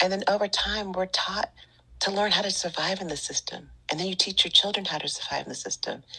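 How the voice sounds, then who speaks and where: With an American accent, a woman speaks very fast at a medium pitch with fairly even intonation over noticeable background noise. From Northern California, Bay Area. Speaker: Reiki teacher and wellness podcaster. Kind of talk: casual interview chat.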